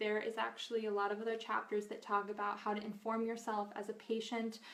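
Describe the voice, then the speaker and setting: This woman's voice is fairly high and her delivery fairly quick, with noticeable background noise behind her. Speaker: nutritional therapy practitioner and cookbook author. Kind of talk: live video Q&A. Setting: Facebook live video. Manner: fast; casual, filler-heavy.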